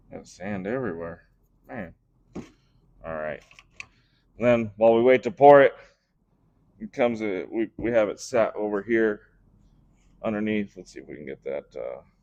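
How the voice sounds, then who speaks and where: Broken by long, frequent pauses, a man's speech shows big swings in loudness. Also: moderate pace. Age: 30s. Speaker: metal casting livestreamer. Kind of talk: live tutorial stream. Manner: casual, thinking aloud with fillers.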